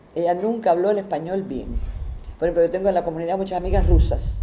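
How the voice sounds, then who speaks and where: Over noticeable background noise, a woman speaks with lively intonation at a fairly low pitch. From Cuba, Havana. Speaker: interviewee. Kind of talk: testimony. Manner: halting.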